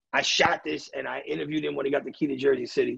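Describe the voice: A man speaks fast at medium pitch, his fairly bright tone carrying vocal fry and a husky, rough, gravelly, raspy edge.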